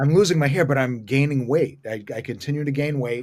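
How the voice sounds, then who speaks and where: A man with a Boston accent speaks at a moderate pace, medium in pitch with ordinary pitch variation. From US Northeast, Boston area (Watertown). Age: 50s. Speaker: comedian. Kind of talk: stand-up.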